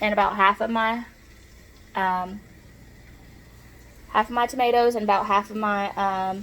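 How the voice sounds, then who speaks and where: In a Southern US accent, a woman speaks with fairly even intonation. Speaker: cooking vlogger. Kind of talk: cooking tutorial. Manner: casual, chatty.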